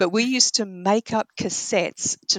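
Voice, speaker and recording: A woman speaks in an Australian accent with ordinary pitch variation. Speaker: romance novelist. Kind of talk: casual interview. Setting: remote call.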